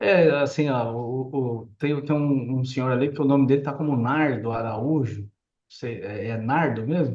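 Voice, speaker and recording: Speaking at a fairly slow pace, a man keeps his medium pitch in a fairly even intonation. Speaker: real estate developer and architect. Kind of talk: live stream chat. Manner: casual.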